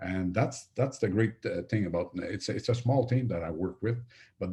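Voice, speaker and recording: In a French accent, a man speaks at a moderate pace and fairly low pitch, his tone dark and mellow and somewhat breathy, with ordinary pitch variation against a quiet background. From Quebec. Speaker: franchise consultant. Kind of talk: webinar sales pitch. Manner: halting, many fillers and repetitions.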